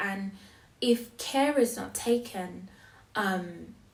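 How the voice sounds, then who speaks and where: The speaker is a woman with a somewhat breathy voice. She talks at a very slow pace. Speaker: poet. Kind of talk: casual talk to camera. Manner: hesitant, reflective.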